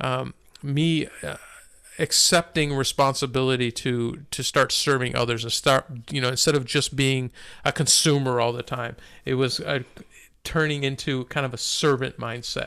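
A bright, sharp tone with monotone, flat intonation moves at a moderate pace on a very clean recording with a silent background. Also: man. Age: 50s. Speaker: podcast co-host. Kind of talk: casual chat and testimony.

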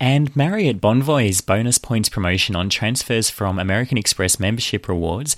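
Recorded very cleanly against a silent background, with a dry, close sound and no echo, a man with an Australian accent speaks at a fairly low pitch with ordinary pitch variation. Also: hardly any pauses. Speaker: podcast host. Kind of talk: news reading and interview.

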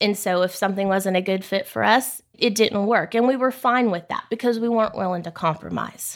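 In a very clean recording with a silent background, a woman talks at a fairly quick pace with a Texan accent. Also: medium pitch for a woman, ordinary pitch variation. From South Texas. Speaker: oil services general manager. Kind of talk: interview.

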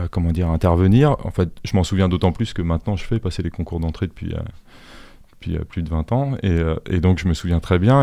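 Here a man speaks with a very deep, low pitch and a dark, mellow tone at a moderate pace. His pitch varies in an ordinary way, and the recording is very clean with a silent background. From Paris region, Suresnes. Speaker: artist and art school teacher. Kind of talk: interview. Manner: halting, many hesitations.

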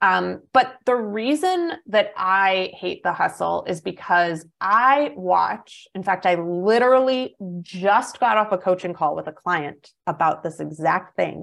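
A woman with an American accent has an unremarkable speaking voice at medium pitch. She talks at a fairly slow pace with lively intonation and hardly any pauses. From US Midwest, small town. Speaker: business coach. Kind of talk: interview conversation.

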